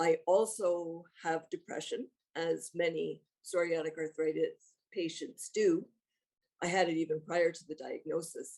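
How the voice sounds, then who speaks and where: With a Canadian accent, the speaker goes at a fairly slow pace, keeping fairly even intonation despite big swings in loudness. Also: woman, fairly low pitch for a woman. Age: 60s. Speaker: retired teacher, fitness program member. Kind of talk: testimonial interview. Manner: halting, with fillers and restarts.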